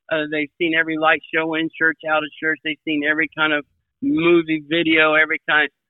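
The speaker has an American accent and a fairly quick pace. The intonation is monotone and flat. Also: man, fairly high pitch for a man. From US Midwest. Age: 60s. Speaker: evangelist. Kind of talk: casual interview chat, faith-focused.

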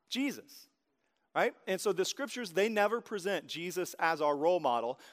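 Someone with an American accent speaks at a moderate pace with lively intonation. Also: man. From Oklahoma. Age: 30s. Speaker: pastor. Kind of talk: sermon. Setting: church stage with audience.

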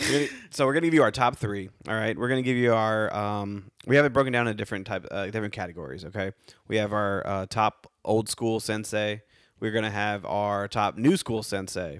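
An unremarkable speaking voice from a man, fairly low in pitch, with ordinary pitch variation at a fairly quick pace. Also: very clean recording, silent background. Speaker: podcast host. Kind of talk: casual chat. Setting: studio.

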